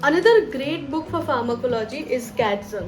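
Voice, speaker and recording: Music plays in the background and there is audible room echo as a woman with a high voice makes very wide pitch swings. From West Bengal, India. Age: 20s. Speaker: doctor and study YouTuber. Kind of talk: advice video to camera.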